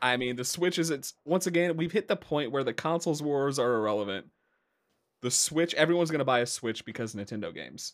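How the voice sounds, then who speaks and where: Talking at a very fast pace, a man uses lively intonation. His pitch sits fairly high. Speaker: podcast host. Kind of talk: casual chat.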